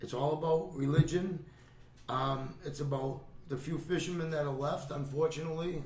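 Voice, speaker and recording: A man with a Boston accent, fairly high-pitched and flat in a monotone, amid noticeable background noise and audible room echo. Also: moderate pace. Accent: Boston-area New England. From Gloucester, Massachusetts. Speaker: retired fisherman. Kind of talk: casual chat. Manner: halting.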